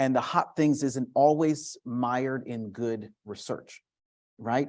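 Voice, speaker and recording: A man speaks at a very slow pace, his medium pitch and intonation fairly even. The recording is very clean, with a silent background. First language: Spanish. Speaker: education professor. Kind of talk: panel discussion. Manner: halting, many fillers and restarts.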